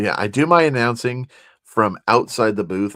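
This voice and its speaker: The delivery moves at a moderate pace with lively intonation. The recording is very clean, with a silent background. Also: man. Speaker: co-host of a sports card chat show and ballpark PA announcer. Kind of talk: casual chat. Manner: loud.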